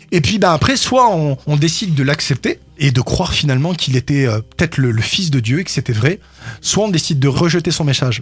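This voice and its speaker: A man with a fairly high pitch, lively intonation, fairly quick pace and very even loudness, amid noticeable background noise. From France, Grenoble. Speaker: pastor. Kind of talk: radio interview. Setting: radio studio.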